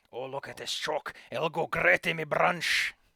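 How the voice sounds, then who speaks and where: A put-on character voice in a Scottish accent. The pace is moderate. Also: middle pitch. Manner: gruff, comical.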